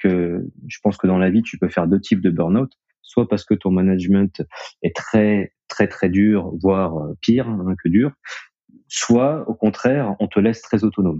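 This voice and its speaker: Here is a man with a fairly low pitch. His pitch variation is ordinary. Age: 30s. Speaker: co-founder of a connected-devices company. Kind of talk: interview. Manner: halting, with many fillers and repetitions.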